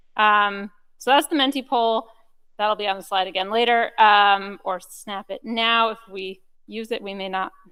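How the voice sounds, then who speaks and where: At a moderate pace, a woman speaks at medium pitch with fairly even intonation but big swings in loudness. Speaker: research data program speaker. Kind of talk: conference talk. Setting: conference room with audience, recorded.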